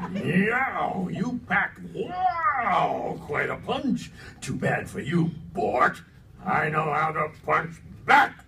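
A man in a put-on character voice, high-pitched for a man and very slow, with clear background noise. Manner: shouts sound-effect words.

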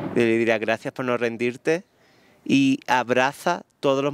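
Medium pitch for a man, with an Andalusian accent and fairly even intonation, in a dry sound with no echo and light background noise. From southern Andalusia, Spain. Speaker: wedding photographer; guest. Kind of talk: interview. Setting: live audience event. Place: garden. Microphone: handheld.

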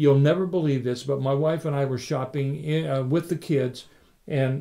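Against a quiet background, a man speaks at a moderate pace with a fairly high pitch and a dark, mellow, warm tone. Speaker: pastor. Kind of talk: sermon. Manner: warm, conversational; earnest, teaching.

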